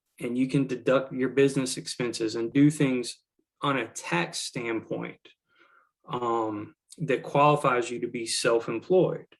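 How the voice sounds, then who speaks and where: A man speaks in a normal speaking voice at a medium pitch. His pace is fairly slow and his intonation fairly even. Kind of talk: webinar presentation.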